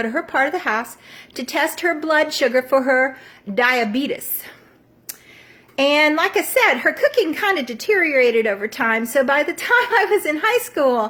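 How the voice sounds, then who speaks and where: A woman speaks at a moderate pace in a Southern US accent. Her pitch is high and her intonation lively. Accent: Southern American. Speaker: storyteller. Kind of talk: personal storytelling to camera.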